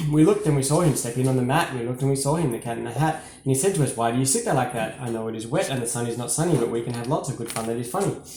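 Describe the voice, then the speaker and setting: Hardly pausing, a man of medium pitch talks at a very fast pace over noticeable background noise. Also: ordinary pitch variation. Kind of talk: children's story reading.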